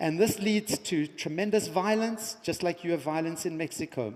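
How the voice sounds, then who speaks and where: A man with a high pitch and an animated tone, ordinary pitch variation, moderate pace, noticeable background noise. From South Africa. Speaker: education entrepreneur and keynote speaker. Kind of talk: conference keynote speech. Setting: stage with audience.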